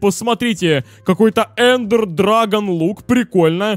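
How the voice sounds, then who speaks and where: Over noticeable background noise, a man with a high pitch and lively intonation comes through in a dry, close sound with no echo. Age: 20s. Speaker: gaming YouTuber. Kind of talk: let's play commentary. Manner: animated.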